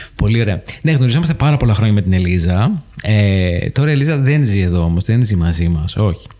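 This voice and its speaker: Speaking at a fairly quick pace with hardly any pauses, a man with a fairly low pitch uses lively intonation and very even loudness over noticeable background noise. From Greece, Paros. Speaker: podcast host. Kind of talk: casual chat.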